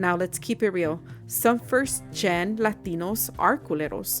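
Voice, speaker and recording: A woman's fairly low-pitched voice in an American accent, with music in the background. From California. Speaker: podcast host. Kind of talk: casual podcast talk. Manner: casual, code-switching between English and Spanish.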